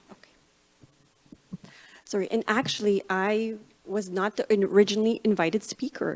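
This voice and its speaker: A woman's medium-pitched voice at a moderate pace, fairly even in intonation, with long, frequent pauses. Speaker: medical science liaison and microbiologist. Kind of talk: conference talk.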